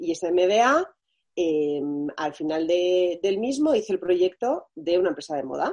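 With lively intonation and fairly low pitch, a woman talks at a moderate pace in an ordinary speaking voice. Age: 30s. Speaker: fashion brand founder. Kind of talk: interview.

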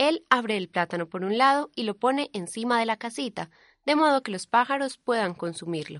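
With a normal speaking voice, a woman talks at a moderate pace in a fairly high pitch, her intonation lively and the sound dry and close with no echo against a quiet background. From Colombia, Antioquia. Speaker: reporter. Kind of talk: scripted narration.

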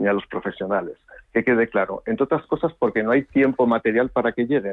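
Here a man has an unremarkable speaking voice at a medium pitch. His pitch varies in an ordinary way. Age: 50s. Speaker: politician. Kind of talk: radio interview.

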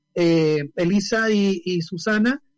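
A man's voice, with ordinary pitch variation, comes through with music playing behind it. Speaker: activist and journalist. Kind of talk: casual interview chat. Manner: animated.

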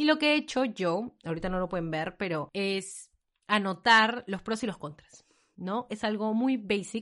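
A woman's animated voice at a medium pitch and a fairly slow pace. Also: lively intonation, quiet background. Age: 20s. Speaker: podcast host. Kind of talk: casual chat.

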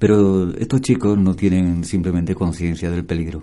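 A man's very deep, low voice, dark and mellow in tone, with fairly even intonation. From Andalusia, Seville. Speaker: singer-songwriter and painter. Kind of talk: casual interview chat.

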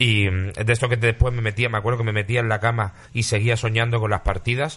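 Here a man talks at a very fast pace. His intonation stays monotone and flat. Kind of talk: casual chat.

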